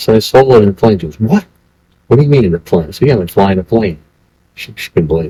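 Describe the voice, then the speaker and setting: A man with an American accent talks at a very fast pace in a dark, mellow, somewhat breathy voice, the sound dry and close with no echo. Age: 70s. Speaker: volunteer firefighter. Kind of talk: oral history interview. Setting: library historical center.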